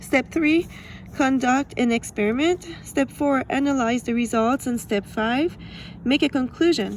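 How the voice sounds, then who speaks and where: A woman with a French accent speaks at a high pitch with ordinary pitch variation. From France. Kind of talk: reading aloud from a book.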